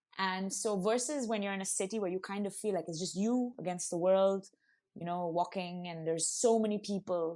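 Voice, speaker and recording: A woman's dark, mellow voice at medium pitch, fairly quick in pace, with ordinary pitch variation. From India, Pondicherry / Auroville. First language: Bengali. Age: 20s. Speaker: actor and content creator. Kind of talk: casual interview chat.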